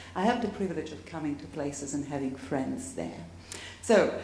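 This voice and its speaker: Over noticeable background noise and audible room echo, a woman speaks with lively intonation at a moderate pace. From Tuscany, Italy (Cortona). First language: Italian. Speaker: academic panelist. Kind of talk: panel discussion.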